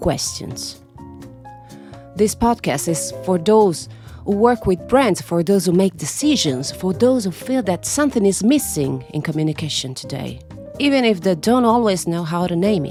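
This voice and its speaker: A woman's fairly low voice with an Italian accent, at a fairly slow pace with very wide pitch swings, music in the background. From Italy. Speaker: voice artist and storyteller. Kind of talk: podcast monologue.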